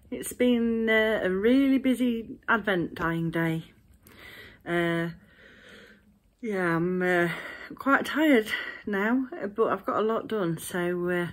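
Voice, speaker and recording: A woman with lively intonation and long, frequent pauses, against a quiet background. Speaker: craft vlogger. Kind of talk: casual vlog chat. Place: home room. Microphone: phone near.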